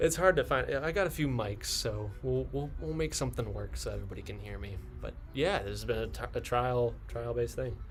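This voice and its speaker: With music in the background and audible room echo, a man talks at a fairly quick pace. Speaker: Irish dance teacher. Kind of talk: live stream tutorial. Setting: live stream at home. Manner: halting. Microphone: laptop internal mic, audio popping.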